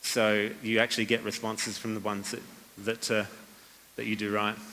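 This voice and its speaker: A man talks at a fairly quick pace with a fairly low pitch and a monotone, flat intonation. His tone is bright and sharp, and the recording is very clean with a silent background. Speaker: copywriting speaker. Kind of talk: conference talk. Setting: stage with audience. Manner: fast; many fillers and repetitions.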